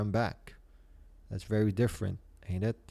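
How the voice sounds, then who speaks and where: A man speaks with a dark, mellow tone. His pace is fairly quick. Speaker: podcast host. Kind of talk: solo casual podcast talk. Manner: hesitant, many filler sounds.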